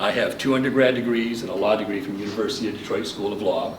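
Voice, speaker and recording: Noticeable background noise and audible room echo surround a man speaking in a Midwestern US accent. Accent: US Midwest. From Michigan. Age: 70s. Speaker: local election candidate. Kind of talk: campaign speech. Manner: formal.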